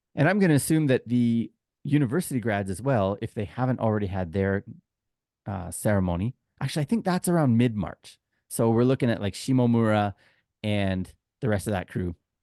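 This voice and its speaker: A man with a Canadian accent speaks at a moderate pace with lively intonation and long, frequent pauses, his pitch fairly low and his tone dark and mellow. The sound is dry and close with no echo, over a quiet background. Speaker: podcast host. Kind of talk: casual chat.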